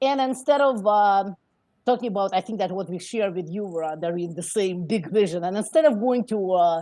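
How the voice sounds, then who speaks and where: In a non-native accent, the speaker talks at a moderate pace with a dark, mellow tone and lively intonation against a quiet background. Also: woman, medium pitch for a woman. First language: not English. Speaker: immigrant entrepreneur. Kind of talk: interview. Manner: halting, many fillers.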